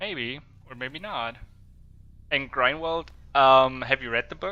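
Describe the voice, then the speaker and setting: A man's bright, sharp voice at medium pitch, with ordinary pitch variation, big swings in loudness, and a fairly slow pace. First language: not English. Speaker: gaming streamer; part-time HR worker. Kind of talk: live gameplay commentary. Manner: halting, many fillers.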